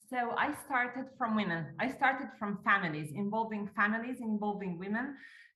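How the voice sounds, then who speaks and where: A woman with an Italian accent talks in a bright, sharp tone with ordinary pitch variation and hardly any pauses. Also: fairly high pitch for a woman, moderate pace. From Italy. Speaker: golf course owner. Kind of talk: interview.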